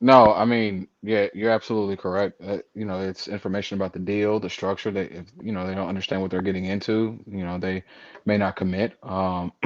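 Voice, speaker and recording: Against a quiet background, a man with a fairly low pitch talks at a fairly quick pace in a monotone, flat delivery. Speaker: self-storage owner operator. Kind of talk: live webinar discussion. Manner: soft-spoken.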